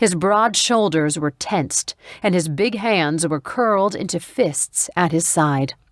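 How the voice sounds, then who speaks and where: A woman with an ordinary speaking voice talks at a fairly slow pace, her pitch fairly low and her intonation lively. The sound is dry and close with no echo, on a very clean recording with a silent background. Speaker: audiobook narrator. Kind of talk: audiobook narration.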